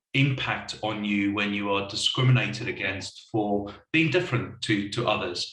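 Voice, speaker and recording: A man's fairly low-pitched voice carries audible room echo. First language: not English. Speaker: wellbeing consultancy leader. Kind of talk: panel discussion. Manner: hesitant, repeats words.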